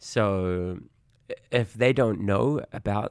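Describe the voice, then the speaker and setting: This man speaks with a New Zealand accent. His pitch is fairly low. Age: 30s. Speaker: kickboxing coach and educator. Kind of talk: casual interview.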